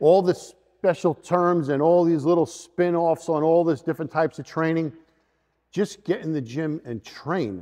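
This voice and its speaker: A man's fairly high voice at a moderate pace, with ordinary pitch variation, over a quiet background. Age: 50s. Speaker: fitness coach. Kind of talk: instructional video talk. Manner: emphatic. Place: gym. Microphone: lapel.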